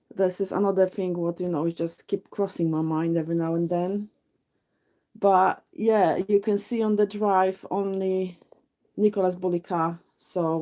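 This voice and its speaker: A woman's dark, mellow voice in a Polish accent, flat and monotone, over a quiet background. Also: medium pitch for a woman, moderate pace. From Poland. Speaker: true crime livestream co-host. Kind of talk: casual chat. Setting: livestream.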